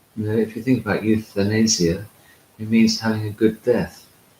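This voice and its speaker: A man talks at a moderate pace in a fairly low pitch, his tone dark and mellow and a bit breathy. His intonation stays fairly even. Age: 60s. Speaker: Orthodox priest and monk. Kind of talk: spiritual talk. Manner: hesitant with frequent fillers.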